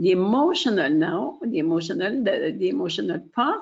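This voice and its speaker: Vocal fry marks this woman's medium-pitched voice. Her pitch swings very widely. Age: 60s. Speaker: webinar presenter. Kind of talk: product webinar presentation. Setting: online webinar. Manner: hesitant, many fillers.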